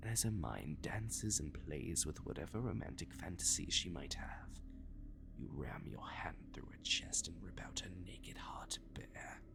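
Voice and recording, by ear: A man whispering in a put-on character voice, fairly slow, with vocal fry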